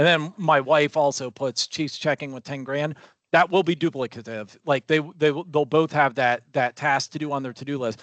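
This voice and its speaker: A man's plain, everyday voice, fairly high-pitched, at a moderate pace with fairly even intonation, dry and close with no echo, over a quiet background. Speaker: software trainer. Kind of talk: tutorial.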